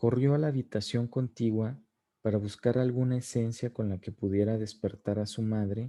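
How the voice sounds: Heard over a quiet background, a natural reading voice keeps a fairly even intonation.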